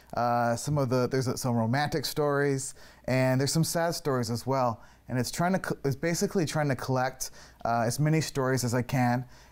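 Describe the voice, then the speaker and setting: Speaking with a Canadian accent, a man keeps very even loudness and ordinary pitch variation at a fairly quick pace over a quiet background. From Canada. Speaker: filmmaker. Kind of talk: TV interview. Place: studio. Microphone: lapel.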